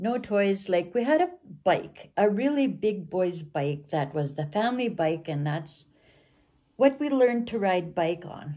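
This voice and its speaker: On a very clean recording with a silent background, a woman speaks at a medium pitch and a fairly slow pace. Her tone is dark and mellow, with lively intonation. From northern Alberta, Canada (Cree community). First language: Cree. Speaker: storyteller. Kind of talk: personal reminiscence monologue. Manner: halting, with many fillers.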